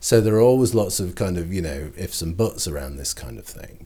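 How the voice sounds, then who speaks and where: A man's dark, mellow voice with vocal fry and a northern English accent. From northern England. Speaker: cultural history lecturer. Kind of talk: interview. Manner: halting, frequent repetitions.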